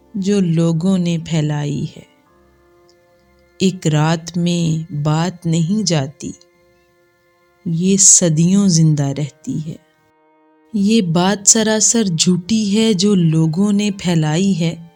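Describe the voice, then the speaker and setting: Music plays in the background. The pitch of the voice varies in an ordinary way. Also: woman, fairly low pitch for a woman. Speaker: poet. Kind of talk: poetry reading.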